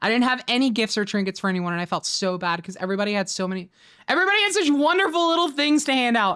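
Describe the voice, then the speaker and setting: Very fast, bright and sharp, with an American accent, very wide pitch swings, and a very clean recording with a silent background. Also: woman, fairly high pitch for a woman. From Florida Panhandle, Pensacola. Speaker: streamer. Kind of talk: casual livestream chat. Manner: halting, many repetitions and fillers.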